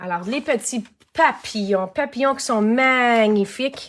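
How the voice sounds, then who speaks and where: A woman speaks with a Quebec accent. Her tone is animated. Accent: Québécois French. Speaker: craft demonstrator and online shop owner. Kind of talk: live-stream craft tutorial. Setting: home studio live stream.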